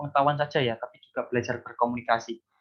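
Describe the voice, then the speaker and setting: His voice carries a slight airiness. This man rattles through his words at great speed. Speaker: university lecturer. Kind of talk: lecture. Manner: animated.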